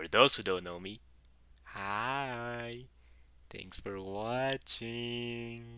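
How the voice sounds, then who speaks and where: A man with a strong Mexican accent at medium pitch, bright and sharp in tone, very slow with long, frequent pauses and ordinary pitch variation. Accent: heavy Mexican Spanish. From Mexico. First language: Spanish. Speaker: YouTuber, gaming content creator. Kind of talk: video intro.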